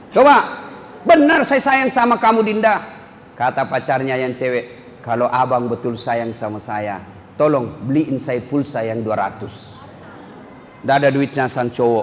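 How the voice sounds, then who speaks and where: The speaker has lively intonation and a fairly slow pace. Noticeable background noise runs underneath. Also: man, medium pitch for a man. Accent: strong Buginese. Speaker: Islamic preacher. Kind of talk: humorous religious sermon. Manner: blunt, expressive, humorous.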